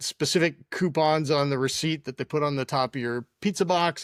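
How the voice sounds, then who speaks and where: A man talks at a moderate pace with ordinary pitch variation and a fairly high pitch, in an unremarkable speaking voice. The sound is dry and close with no echo, in a very clean recording with a silent background. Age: 60s. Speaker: tech entrepreneur. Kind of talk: interview storytelling.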